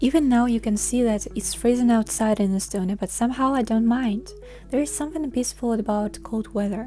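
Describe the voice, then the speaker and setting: With a Russian accent, a woman talks in a fairly high voice with ordinary pitch variation while music plays in the background. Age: 20s. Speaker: vlogger. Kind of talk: personal vlog reflection.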